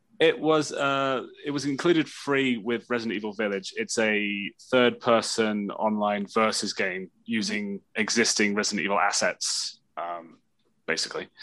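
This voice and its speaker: A medium-pitched man with a bright, sharp tone, ordinary pitch variation and a moderate pace. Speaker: podcast guest. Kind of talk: casual chat.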